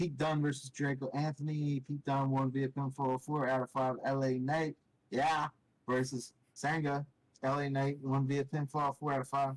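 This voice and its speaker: The man speaks at a moderate pace and medium pitch in a monotone, flat delivery. The sound is dry and close, with no echo. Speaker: wrestling podcast host. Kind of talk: casual chat.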